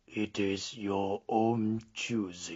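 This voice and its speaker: A man does a put-on character voice, fairly low in pitch and monotone and flat. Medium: read story. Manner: grim, curt, ominous.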